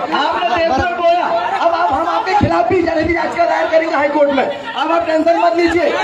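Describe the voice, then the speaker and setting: The voice is loud, with fairly even intonation and hardly any pauses. Crowd noise and audible room echo fill the background. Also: man, extremely high pitch for a man. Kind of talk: heated argument with an official.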